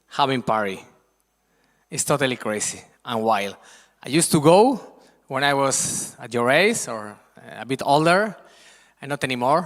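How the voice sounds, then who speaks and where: A man in a Spanish accent, with lively intonation and long, frequent pauses. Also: medium pitch for a man, moderate pace, big swings in loudness. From Spain, Madrid. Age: 50s. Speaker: guest lecturer on Spanish culture. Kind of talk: presentation to school students. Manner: animated.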